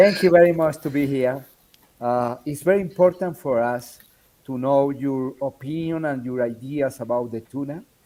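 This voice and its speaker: A man's fairly high voice with a Spanish accent, at a fairly slow pace with ordinary pitch variation. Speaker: show host. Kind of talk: casual video call chat. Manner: halting.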